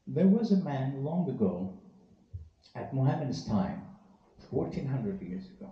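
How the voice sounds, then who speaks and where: A man with a fairly high pitch makes very wide pitch swings and big swings in loudness. Long, frequent pauses and audible room echo fill the clip. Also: moderate pace. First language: Persian. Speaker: Sufi teacher. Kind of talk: talk to a live audience. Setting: event hall with audience, live-streamed.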